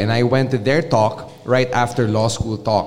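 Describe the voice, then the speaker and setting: Noticeable background noise behind a man talking at a medium pitch. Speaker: podcaster. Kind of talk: panel discussion. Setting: stage with audience. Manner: animated.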